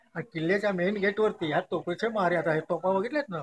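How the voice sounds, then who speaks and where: A man speaks over noticeable background noise. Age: 80s+. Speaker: hereditary fort keeper and guide. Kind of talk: oral history told to visitors.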